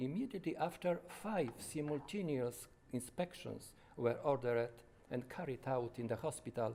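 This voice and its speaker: A man speaks with a Polish accent at a medium pitch. His tone is dark and mellow, with ordinary pitch variation. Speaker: doctor. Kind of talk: testimony. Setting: conference. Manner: halting, with frequent self-corrections.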